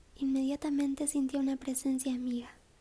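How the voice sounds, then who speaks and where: A soft-spoken woman's high-pitched voice with a dark, mellow tone, calm tone, monotone, flat intonation and a moderate pace. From Argentina. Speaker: ASMR audiobook reader. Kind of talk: audiobook reading, sleep story. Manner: soft-spoken, calm.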